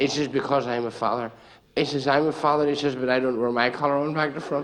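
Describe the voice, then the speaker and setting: A man with a Northern Irish accent, fairly high in pitch, animated in tone and very fast, amid noticeable background noise and audible room echo. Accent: Northern Irish (Ulster). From Northern Ireland, Banbridge, County Down. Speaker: comedian. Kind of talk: stand-up. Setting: stage with audience.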